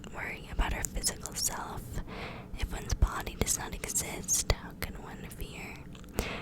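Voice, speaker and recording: Someone whispers at a fairly slow pace. Noticeable background noise runs behind the voice. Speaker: ASMR creator. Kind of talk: reading aloud. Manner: whispering.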